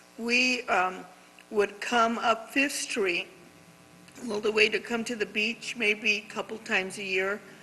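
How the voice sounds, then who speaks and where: Over noticeable background noise, a woman speaks fairly slowly in a fairly high voice with fairly even intonation. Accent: American. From Camarillo, California (US West Coast). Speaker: community leader. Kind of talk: interview conversation. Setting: art gallery on location.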